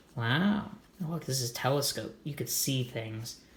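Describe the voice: The speaker talks at a moderate pace with a fairly bright tone and lively intonation, and the room echo is audible. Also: man, medium pitch for a man.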